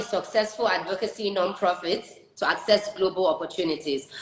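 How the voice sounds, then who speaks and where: A woman at a moderate pace. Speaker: talk show host. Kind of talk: live stream chat.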